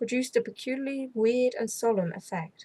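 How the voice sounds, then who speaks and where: This woman speaks with an English accent. Her voice is somewhat breathy. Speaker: ASMR storyteller, channel host. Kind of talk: gothic audiobook reading, ASMR.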